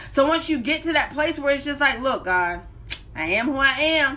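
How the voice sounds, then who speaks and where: A woman with a high pitch talks in a raised, projected voice and an animated tone, moving at a fairly slow pace with ordinary pitch variation. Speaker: life coach and motivational speaker. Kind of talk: live-streamed motivational talk. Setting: live stream on social media. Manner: loud.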